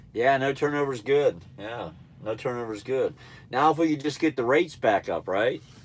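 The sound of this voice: A nasal male voice at medium pitch with lively intonation. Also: moderate pace.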